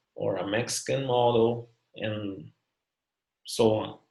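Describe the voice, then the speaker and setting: Speaking at a very slow pace, a man with a Brazilian Portuguese accent has a somewhat breathy, medium-pitched voice and fairly even intonation. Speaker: academic researcher. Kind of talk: academic presentation. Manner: halting, many fillers.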